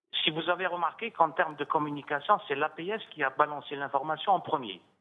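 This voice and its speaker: With a plain, everyday voice, a man talks at a moderate pace in a fairly high pitch, varying it in an ordinary way. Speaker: retired international civil servant. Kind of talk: televised political debate. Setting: remote link from Algiers. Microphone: audio return/echo on his line.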